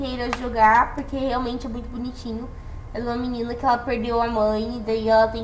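A high-pitched woman speaks at a moderate pace. Both background noise and room echo can be heard. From Brazil, São Paulo state interior (Jaguariúna). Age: 18. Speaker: podcast guest. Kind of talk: casual chat.

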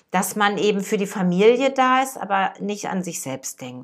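This is a woman speaking. Her pitch is medium. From Ruhr area, Germany (Dortmund). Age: 50s. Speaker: podcast host and life coach. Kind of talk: casual personal monologue.

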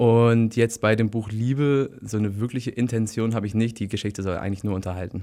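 A man with a dark, mellow tone and medium pitch talks at a fairly quick pace with hardly any pauses and fairly even intonation, on a very clean recording with a silent background. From northern Germany, Bremen area. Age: 20s. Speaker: author and book blogger. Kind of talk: casual interview. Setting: studio.

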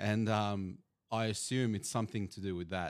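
Recorded very cleanly against a silent background, a man speaks with an Australian accent at a moderate pace. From Bosnia (Banja Luka), grew up in Sydney. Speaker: sports analyst. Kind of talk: casual chat. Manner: hesitant, many fillers.

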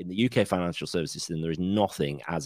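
A man speaks very fast with vocal fry and ordinary pitch variation, recorded dry and close with no echo. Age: 40s. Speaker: financial planner. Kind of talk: casual chat. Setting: video call.

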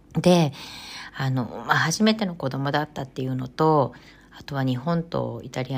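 In a very clean recording with a silent background, a woman speaks at a moderate pace. Her pitch is very deep and low, with ordinary variation. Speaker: podcast host, image consultant. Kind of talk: solo podcast talk.

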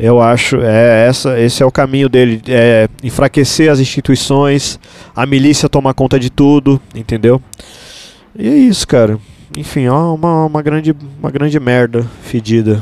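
A man with an unremarkable speaking voice talks at medium pitch and a moderate pace, his intonation fairly even. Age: 40s. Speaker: musician and cartoonist. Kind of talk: casual chat. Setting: studio.

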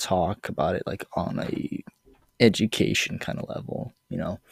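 An animated voice with an American accent comes through a dry, close sound with no echo on a very clean recording with a silent background. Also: man. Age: 20s. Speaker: podcast host. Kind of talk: casual storytelling monologue. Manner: animated, many fillers.

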